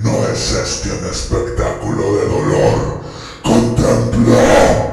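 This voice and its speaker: Strong echo and clear background noise fill the clip. A man uses a put-on character voice at a very slow pace. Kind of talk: horror narration. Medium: read story. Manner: plaintive, impatient, mumbling.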